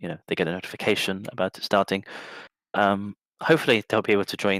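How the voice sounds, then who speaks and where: A voice with an English accent comes through a very clean recording with a silent background and a dry, close sound with no echo. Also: man. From England. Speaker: esports caster and coach. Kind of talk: live commentary. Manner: fast.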